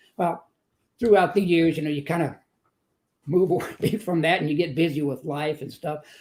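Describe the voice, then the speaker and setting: This man's voice sits at a fairly high pitch, with a dark, mellow tone and fairly even intonation. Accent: Texan. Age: 70s. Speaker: motivational speaker and author. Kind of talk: testimony.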